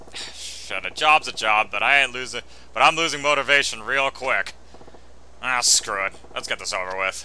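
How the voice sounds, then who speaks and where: A man puts on a gruff character voice at medium pitch. He keeps a moderate pace over clear background noise. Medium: game stream. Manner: gruff, slangy.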